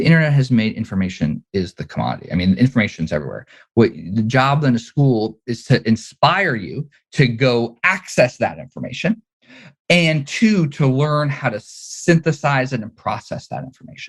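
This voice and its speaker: At a moderate pace, a man with a medium pitch and vocal fry makes very wide pitch swings and big swings in loudness. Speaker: startup founder. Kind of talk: interview.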